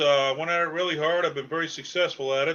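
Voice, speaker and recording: A man with a Boston accent speaks at high pitch and a fairly quick pace. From Massachusetts, New England. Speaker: stand-up comedian. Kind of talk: casual interview chat.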